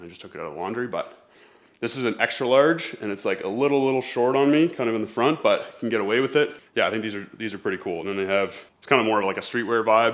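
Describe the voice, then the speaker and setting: At a very fast pace, a man speaks with medium pitch and ordinary pitch variation. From Canada. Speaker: fitness YouTuber and coach. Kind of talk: try-on haul video. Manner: casual.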